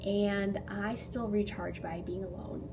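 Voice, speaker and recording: Audible room echo follows a woman's voice as noticeable background noise runs behind her. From Canada, near Toronto. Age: 20s. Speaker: DJ and content creator. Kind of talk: casual get-to-know-me vlog. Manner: animated.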